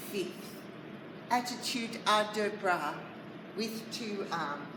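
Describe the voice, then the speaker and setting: A woman with a medium pitch speaks at a very slow pace in an Australian accent. Audible room echo and noticeable background noise surround her. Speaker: ballet teacher. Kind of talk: tutorial.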